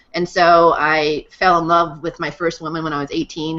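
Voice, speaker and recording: A woman with an American accent in a plain, everyday voice, fairly low in pitch, at a fairly quick pace. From Massachusetts. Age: 30s. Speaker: guest speaker on integral theory. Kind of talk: personal testimony.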